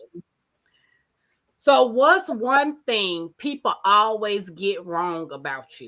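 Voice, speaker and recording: A woman speaks at a very slow pace with long, frequent pauses, in a medium pitch and a bright, sharp tone. Her pitch swings very widely and her loudness swings a lot, in a very clean recording with a silent background. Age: 40s. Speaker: homestead channel host. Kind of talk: casual chat. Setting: live stream.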